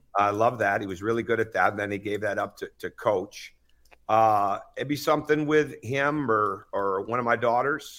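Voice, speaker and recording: This man has an American accent and a medium pitch with ordinary pitch variation. His tone is bright and sharp, and he is loud. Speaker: basketball coach. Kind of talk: interview.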